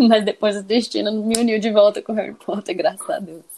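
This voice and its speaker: A woman is speaking. Her pitch sits fairly high. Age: 30s. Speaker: guest fan. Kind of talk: casual chat. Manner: animated.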